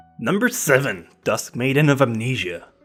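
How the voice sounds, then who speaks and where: Music sits in the background as a man talks, his pitch varying in an ordinary way. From French Canadian. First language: French. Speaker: anime reviewer. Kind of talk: casual countdown review voiceover.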